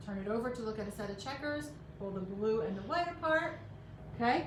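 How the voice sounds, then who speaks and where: Over noticeable background noise and audible room echo, a woman talks at a fairly quick pace. Her fairly high voice makes very wide pitch swings. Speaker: craft workshop instructor. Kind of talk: tutorial. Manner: fast.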